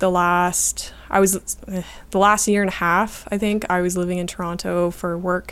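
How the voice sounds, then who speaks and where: On a very clean recording with a silent background, a woman with a Canadian accent talks at a fairly slow pace in a fairly low pitch and a monotone, flat intonation. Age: 20s. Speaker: YouTuber, falconer and artist. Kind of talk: interview conversation.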